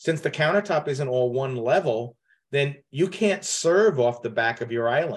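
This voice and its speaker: A man speaks in an ordinary speaking voice at a fairly high pitch. His intonation is lively and his pace moderate. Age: 60s. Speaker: kitchen designer and podcast host. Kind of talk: advice call-in conversation.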